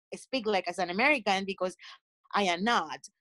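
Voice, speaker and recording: A woman speaks with a strong Colombian coastal accent. Her pace is moderate. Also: dry, close sound with no echo. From Colombia, Caribbean coast. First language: Spanish. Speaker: panelist. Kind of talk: casual chat.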